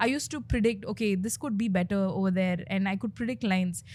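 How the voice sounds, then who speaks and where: A woman speaks at a very fast pace, her voice somewhat breathy. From India, Bengaluru. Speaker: content creator and comedian. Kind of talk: interview. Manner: hesitant, many fillers.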